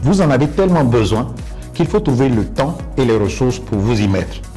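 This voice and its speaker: With music in the background, a man talks at a moderate pace, his intonation lively. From Côte d'Ivoire. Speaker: English coach and former UN interpreter. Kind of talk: interview answer.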